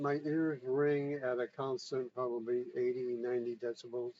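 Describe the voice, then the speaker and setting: The man speaks at a fairly slow pace in a monotone, flat intonation. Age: 60s. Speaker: vlogger with hearing loss. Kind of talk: personal testimony monologue. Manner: hesitant, with frequent fillers.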